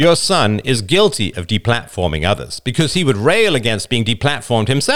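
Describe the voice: A plain read-aloud delivery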